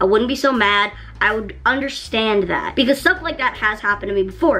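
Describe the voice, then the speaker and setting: A woman talks at a fairly quick pace with a fairly high pitch and ordinary pitch variation. Music plays in the background. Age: 20s. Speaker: YouTuber. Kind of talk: storytime monologue. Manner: animated.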